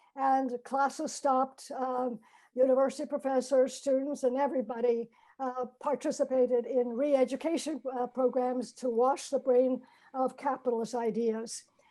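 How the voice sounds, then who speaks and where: Her pitch is high and her tone dark and mellow as the woman speaks at a moderate pace in a monotone, flat intonation. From China. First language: Chinese. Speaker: nutrition education professor. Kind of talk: personal talk with slides. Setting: video call. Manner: hesitant, many fillers.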